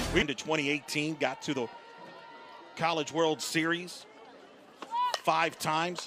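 Crowd noise fills the background as a man talks with a fairly high pitch. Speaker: play-by-play sports commentator. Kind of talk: live sports commentary. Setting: broadcast booth at softball stadium.

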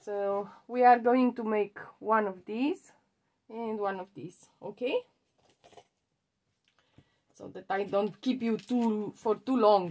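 Speaking at a very slow pace with long, frequent pauses, a woman shows ordinary pitch variation and big swings in loudness. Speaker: craft vlogger. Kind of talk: casual craft tutorial chat. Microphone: phone near.

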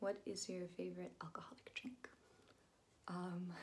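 Whispering from a woman, at a fairly slow pace. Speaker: vlogger. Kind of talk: casual vlog chat, Q&A answers. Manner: soft, hushed ASMR voice. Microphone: phone near.

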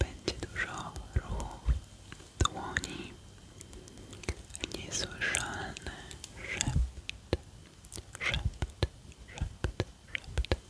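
A woman whispers at a very slow pace. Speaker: ASMR creator. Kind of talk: soft whispered ASMR intro. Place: home room. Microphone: studio mic.

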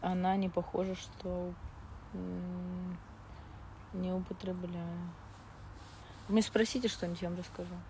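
Over light background noise, in a dry sound with no echo, a woman speaks at a very slow pace with long, frequent pauses. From Moscow, Russia; Russia. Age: 20s. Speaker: reality TV personality; blogger. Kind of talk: live stream chat with viewers. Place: garden. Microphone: lapel.

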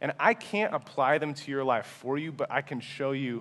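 A man speaks at medium pitch in an animated tone. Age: 20s. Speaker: pastor. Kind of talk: sermon. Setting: church. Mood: earnest, humble. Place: church.

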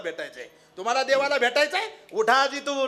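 A man speaks in a raised, projected voice. Noticeable background noise runs underneath. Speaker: kirtan preacher. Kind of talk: sermon. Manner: animated.

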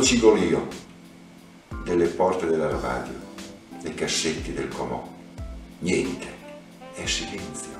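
A man's voice carries audible room echo, with clear music in the background. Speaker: poetry reader. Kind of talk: poetry reading, Italian translation. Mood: tender, melancholic. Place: home room.

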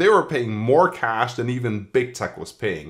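A man's vocal fry with very wide pitch swings, over a quiet background. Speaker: tech newsletter writer. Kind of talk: commentary. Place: home room.

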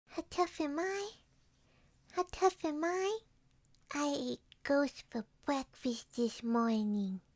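In a high-pitched, playful put-on character voice, the speaker talks at a very slow pace with long, frequent pauses. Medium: audio drama. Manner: playful, boastful.

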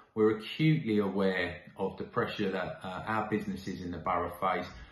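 There is audible room echo around a man speaking at a fairly low pitch. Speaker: local council official. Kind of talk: public update address. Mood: calm, reassuring, earnest. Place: home room. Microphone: phone near.

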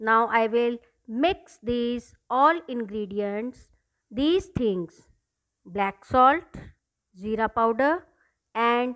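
The setting behind her is quiet. A woman talks at a very slow pace. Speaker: teacher. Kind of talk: tutorial. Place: kitchen.

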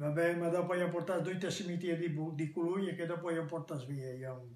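In a room with audible echo, a high-pitched man speaks at a fairly quick pace with fairly even intonation. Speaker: World War II eyewitness. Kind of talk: interview answer. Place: home room. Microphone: phone near.

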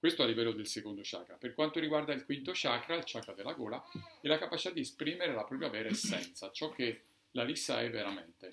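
A man speaks very fast with lively intonation over light background noise. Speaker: doctor; presenter. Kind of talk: lecture with live demonstration; lecture. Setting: bookshop talk with audience. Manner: halting. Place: shop. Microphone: camera far.

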